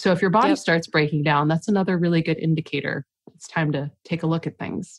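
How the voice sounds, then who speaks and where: A woman talks at a very fast pace with big swings in loudness. The sound is dry and close, with no echo. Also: fairly low pitch for a woman, ordinary pitch variation. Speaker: author and life coach. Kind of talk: casual interview conversation.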